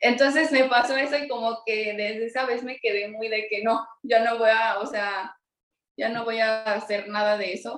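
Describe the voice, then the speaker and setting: Here is a woman with a normal speaking voice. Her pitch is fairly high, her pace moderate, and her intonation fairly even. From Mexico City. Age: 20s. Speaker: illustrator and entrepreneur. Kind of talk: interview.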